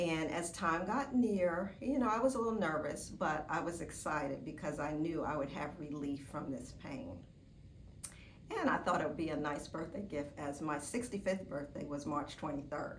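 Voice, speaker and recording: A woman with a very deep, low pitch uses lively intonation at a moderate pace, with audible room echo and noticeable background noise. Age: 60s. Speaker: surgery patient. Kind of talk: testimony. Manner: casual, with filler words.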